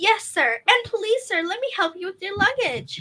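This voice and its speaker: Squeaky and extremely high, a woman's put-on character voice sweeps through very wide pitch swings at a moderate pace. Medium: audio drama. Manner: deferential, nervous.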